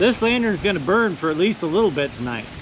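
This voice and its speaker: Shouting loudly at a moderate pace, a man with a high pitch and lively intonation is heard over noticeable background noise. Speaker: antiques and vintage lantern YouTuber. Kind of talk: casual vlog talk to camera. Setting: outdoors at night. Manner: loud, yelling over wind.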